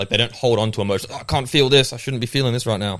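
The man talks very fast on a very clean recording with a silent background. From England, raised in Australia. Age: 20s. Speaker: gym trainer. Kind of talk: casual podcast interview chat. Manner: animated, enthusiastic.

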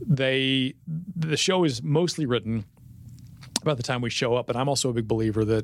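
A man with an American accent speaks at a fairly quick pace with ordinary pitch variation and long, frequent pauses. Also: medium pitch for a man. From Fort Worth, Texas. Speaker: TV news anchor. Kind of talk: casual chat. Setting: studio.

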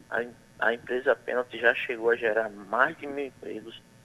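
Here a man speaks at a medium pitch with a bright, sharp tone. His pace is fairly slow. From Bayeux, Paraíba, Brazil. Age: 30s. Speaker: mayoral candidate. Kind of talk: radio interview.

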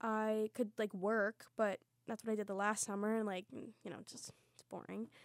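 The speaker has an American accent and a moderate pace, with big swings in loudness. The sound is dry and close, with no echo. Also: woman, fairly high pitch for a woman. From Lancaster County, Pennsylvania. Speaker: musical theatre student. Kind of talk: casual chat. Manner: animated, giggly.

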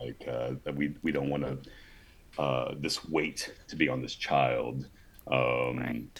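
A man with an American accent speaks at a very slow pace over noticeable background noise. His very deep, low voice stays in a flat monotone. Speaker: former sperm donor. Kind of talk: interview.

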